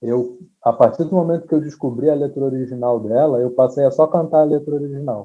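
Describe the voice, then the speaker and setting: The man's voice sits at a medium pitch, with a dark, mellow tone and ordinary pitch variation. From Rio de Janeiro, Brazil. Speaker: singer-songwriter. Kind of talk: interview answer.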